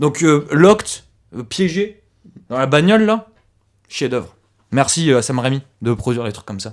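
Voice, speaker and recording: A man speaks at a moderate pace with fairly high pitch, an animated tone and very wide pitch swings. His loudness swings widely, and he leaves long, frequent pauses. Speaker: film critic. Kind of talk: comedic podcast panel discussion.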